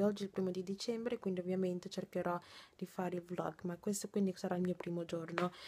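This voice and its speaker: The voice is somewhat breathy with a dark, mellow tone and monotone, flat intonation. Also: woman. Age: 20s. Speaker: vlogger and nursing student; vlogger. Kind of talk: casual vlog. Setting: in her bedroom. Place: home room. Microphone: phone near.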